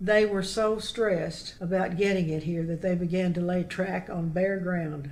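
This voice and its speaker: With clear background noise behind her, a woman talks at a moderate speed. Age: 80s+. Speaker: local author and historian. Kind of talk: interview answer, oral history storytelling.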